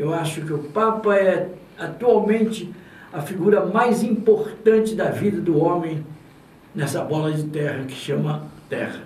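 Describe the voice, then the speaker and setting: With audible room echo and noticeable background noise, a man speaks fairly slowly at a high pitch with ordinary pitch variation. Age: 80s+. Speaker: radio announcer. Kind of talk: interview.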